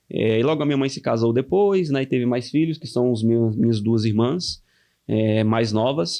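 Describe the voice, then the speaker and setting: Speaking with a Pernambuco accent, a man with a dark, mellow tone and medium pitch talks at a moderate pace with ordinary pitch variation. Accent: Brazilian northeastern (Pernambuco). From Brazil, Pernambuco (interior, Ipubi). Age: 20s. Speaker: young church elder. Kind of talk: casual podcast interview, testimony.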